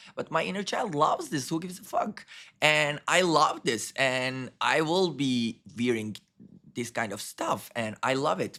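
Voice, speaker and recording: With a non-native accent, a man speaks at a fairly slow pace, his fairly high pitch, bright, sharp tone and lively intonation all clear. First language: not English. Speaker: spiritual channeler. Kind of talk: channeling session.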